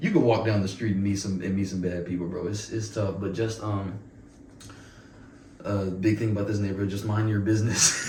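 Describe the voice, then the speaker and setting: Against audible room echo, a man with an American accent talks at a fairly quick pace in a fairly low pitch with ordinary pitch variation. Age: 20s. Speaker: university student. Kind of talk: casual interview chat. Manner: halting, many fillers and repetitions.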